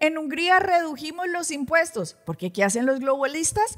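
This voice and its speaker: A woman speaks over noticeable background noise. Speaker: pastor presenting news commentary. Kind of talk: religious news commentary. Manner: animated.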